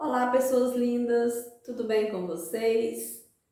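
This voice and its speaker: Her pitch is fairly high for a woman. The room echo is audible. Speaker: accounting teacher, channel host. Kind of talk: tutorial.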